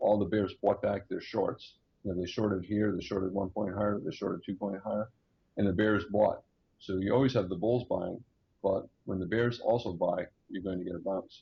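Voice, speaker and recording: Somewhat breathy and fairly low in pitch, a man speaks at a fairly quick pace with fairly even intonation. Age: 60s. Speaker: day trader. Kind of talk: interview with chart walkthrough.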